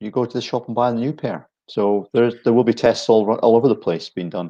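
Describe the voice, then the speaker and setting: With a Scottish accent, a man talks at a fairly quick pace in a medium-pitched voice, its tone dark and mellow, its pitch varying ordinarily, against a quiet background. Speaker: ski equipment brand manager. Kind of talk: casual chat. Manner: halting.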